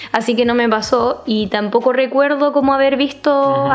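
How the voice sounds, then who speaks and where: A woman's high-pitched voice in a Chilean accent, moderate in pace and fairly even in intonation, over noticeable background noise. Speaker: podcast co-host. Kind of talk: casual chat.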